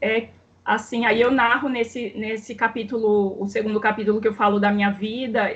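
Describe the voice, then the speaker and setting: Somewhat breathy, a woman with a fairly high pitch speaks in a monotone, flat intonation. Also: moderate pace. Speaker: doctor trained in Cuba, author. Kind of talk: casual interview conversation.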